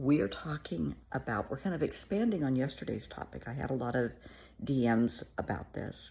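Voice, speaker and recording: A woman speaks with a very deep, low pitch and a warm tone. Her pitch swings very widely, and vocal fry comes through. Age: 60s. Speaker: therapist. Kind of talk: casual chat. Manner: warm, conversational.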